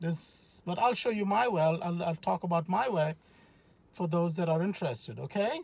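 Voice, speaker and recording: In a dry sound with no echo, a man speaks at a moderate pace. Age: 50s. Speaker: powerlifter and fitness YouTuber. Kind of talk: vlog monologue. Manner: conversational, direct address. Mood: earnest, motivational. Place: car. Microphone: phone near.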